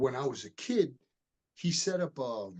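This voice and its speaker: The man's delivery is very slow, and his intonation rises and falls in a lively way. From Miami, Florida, US. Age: 60s. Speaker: martial artist and retired police detective. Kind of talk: interview. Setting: podcast interview.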